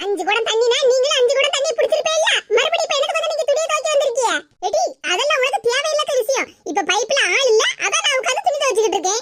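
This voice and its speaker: A woman performs a cartoonish character voice at an extremely high pitch. Her pitch swings very widely as she talks at a fairly quick pace. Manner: defiant, quick-tongued.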